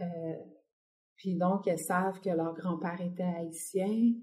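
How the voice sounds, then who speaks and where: A woman's somewhat breathy, medium-pitched voice with a dark, mellow tone, at a very slow pace. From Quebec City, Quebec. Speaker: visual artist. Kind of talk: interview conversation.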